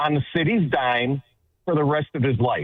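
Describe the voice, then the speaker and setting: An unremarkable speaking voice from a man with an American accent, fairly high pitch, ordinary pitch variation, and a moderate pace. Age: 60s. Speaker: caller, city worker. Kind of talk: call-in conversation.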